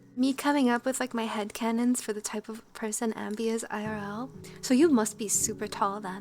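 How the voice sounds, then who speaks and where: Over music in the background, a woman speaks at a moderate pace and fairly high pitch. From Canada. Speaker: streamer and musician. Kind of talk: casual chat. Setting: livestream.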